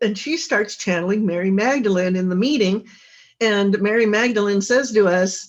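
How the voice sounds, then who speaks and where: Here is a woman with an unremarkable speaking voice. She keeps a moderate pace with ordinary pitch variation. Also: medium pitch for a woman. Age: 60s. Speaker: author and intimacy coach. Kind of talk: interview.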